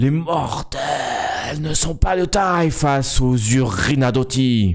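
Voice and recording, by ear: Shouting in a guttural, put-on character voice, a man speaks at a fairly high pitch and a very slow pace.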